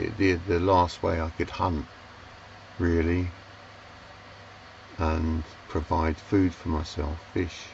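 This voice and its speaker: A London accent, monotone and flat, at a very slow pace with long, frequent pauses. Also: man, very deep, low pitch for a man. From London, England. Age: 60s. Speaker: sailor and vlogger. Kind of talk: casual storytelling monologue. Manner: halting, many fillers and restarts.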